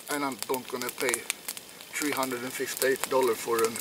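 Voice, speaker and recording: Noticeable background noise accompanies a man with a Swedish accent whose fairly high voice keeps fairly even intonation. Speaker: outdoor vlogger. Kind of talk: casual vlog talk. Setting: outdoors. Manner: halting.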